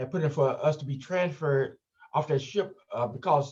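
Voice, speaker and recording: His voice is fairly high for a man and somewhat breathy. He keeps a moderate pace, with ordinary pitch variation. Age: 70s. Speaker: retired educator and museum director. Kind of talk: interview. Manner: halting, many fillers.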